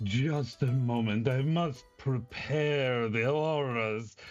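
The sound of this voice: A man puts on a guttural character voice at a medium pitch with fairly even intonation, speaking at a very slow pace. Faint music plays in the background.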